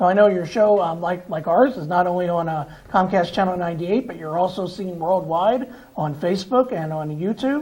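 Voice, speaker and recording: A man's high-pitched voice with an American accent, fairly quick pace and ordinary pitch variation, over noticeable background noise. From Pennsylvania (Reading). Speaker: TV talk show host. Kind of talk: TV interview. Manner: halting, repeats words.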